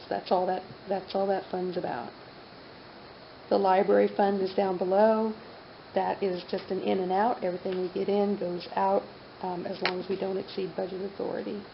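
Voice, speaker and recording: A woman's medium-pitched, flat, monotone voice at a moderate pace, with long, frequent pauses, audible room echo and noticeable background noise. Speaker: city finance official. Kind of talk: council meeting budget presentation. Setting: city council meeting.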